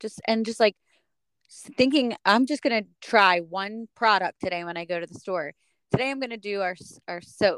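In an American accent, a woman with a normal speaking voice talks at a moderate pace and medium pitch, with ordinary pitch variation, big swings in loudness and a dry, close sound with no echo. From United States. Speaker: podcast host. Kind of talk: casual interview chat.

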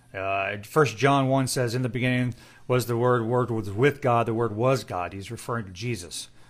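With an ordinary speaking voice, a man speaks at a moderate pace and medium pitch, showing ordinary pitch variation and big swings in loudness. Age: 40s. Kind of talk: Bible study chat. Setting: Instagram Live session. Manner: casual, with fillers.

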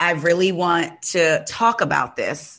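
With an ordinary speaking voice, a woman talks at a fairly low pitch and ordinary pitch variation. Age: 40s. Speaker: podcast host. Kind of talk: casual chat.

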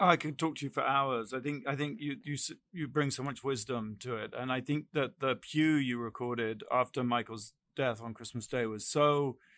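A man has an unremarkable speaking voice at a medium pitch, with ordinary pitch variation and a moderate pace. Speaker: co-host. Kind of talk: casual interview chat.

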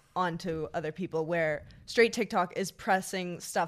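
Someone with a Canadian accent speaks at a moderate pace in a very clean recording with a silent background. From Ottawa area, Canada. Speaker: social media creator and model. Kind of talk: casual chat.

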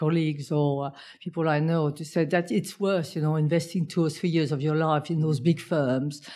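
A woman's very deep, low voice with a dark, mellow tone, monotone, flat intonation, a non-native accent and a moderate pace. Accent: foreign-accented English. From outside the UK. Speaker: business co-founder and accountant. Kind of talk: interview.

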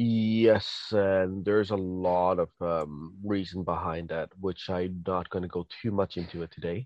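Intonation stays fairly even as the speaker talks at a fairly slow pace. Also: man, very deep, low pitch for a man, hardly any pauses. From Canada. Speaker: podcast guest. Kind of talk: casual chat.

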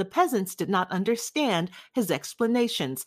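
A woman's plain, everyday voice, moderate pace, lively intonation, very clean recording with a silent background. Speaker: audiobook narrator. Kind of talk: reading aloud.

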